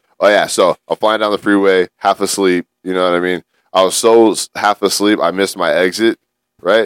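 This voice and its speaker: A man with a Southern California accent talks at a moderate pace, his pitch fairly low. His intonation is monotone and flat, and the sound is dry and close with no echo. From San Gabriel Valley, Los Angeles area. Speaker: podcast co-host. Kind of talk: casual chat.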